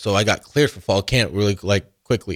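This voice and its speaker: A man speaks in a plain, everyday voice at a fairly low pitch and a moderate pace, with a dry, close sound with no echo and a very clean recording with a silent background. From Arizona, US. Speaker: college football player. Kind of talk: radio interview.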